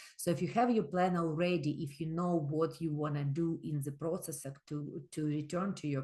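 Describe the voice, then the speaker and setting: A somewhat breathy woman's voice at a very deep, low pitch, with hardly any pauses. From immigrant to Canada. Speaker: microlending organization representative. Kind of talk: webinar presentation.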